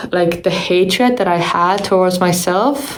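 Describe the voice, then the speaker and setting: A woman with an Estonian accent and medium pitch talks at a fairly slow pace, with audible room echo and noticeable background noise. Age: 20s. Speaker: YouTuber. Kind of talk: vlog monologue. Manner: casual, filler-heavy.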